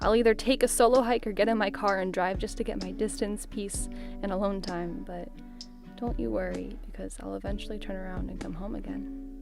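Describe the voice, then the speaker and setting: Over music in the background, a woman speaks fairly quickly at a fairly high pitch, with ordinary pitch variation and big swings in loudness. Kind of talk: spoken word poetry reading.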